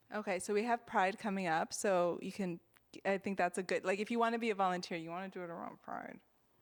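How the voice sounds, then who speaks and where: In a very clean recording with a silent background, a woman talks at a very fast pace and medium pitch with fairly even intonation. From Miami. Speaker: radio host. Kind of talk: radio interview. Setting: radio studio.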